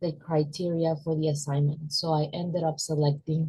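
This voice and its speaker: A somewhat breathy voice with a dark, mellow tone speaks at a moderate pace in a monotone, flat way. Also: woman. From Venezuela. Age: 20s. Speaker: university student. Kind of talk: class presentation.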